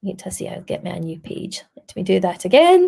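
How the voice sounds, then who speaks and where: A woman with a Scottish accent. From Scotland. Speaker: primary school teacher. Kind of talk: tutorial. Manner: animated.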